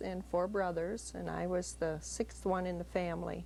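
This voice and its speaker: A woman with a Wisconsin accent talks at a moderate pace. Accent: Upper Midwest (Wisconsin). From US Midwest, Sauk City, Wisconsin. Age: 50s. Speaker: grandmother interviewed for family history. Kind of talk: family interview.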